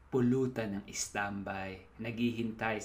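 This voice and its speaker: Speaking with a Filipino accent, a man talks at a fairly slow pace and a medium pitch. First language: Tagalog. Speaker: poet. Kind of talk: casual reflection; poetry reading.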